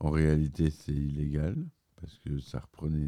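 His pitch is very deep and low. The man talks very slowly. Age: 40s. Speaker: video podcaster doing film and game reviews. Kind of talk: solo scripted commentary.

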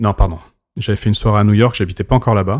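In a very clean recording with a silent background and a dry, close sound with no echo, a man speaks with fairly even intonation. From Paris, France. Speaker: DJ. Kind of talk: casual chat. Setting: club venue.

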